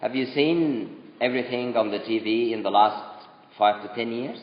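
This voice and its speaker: With lively intonation and a medium pitch, a man speaks over noticeable background noise. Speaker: speaker addressing a youth group. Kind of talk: talk to youth audience. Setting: room with live audience, no microphone.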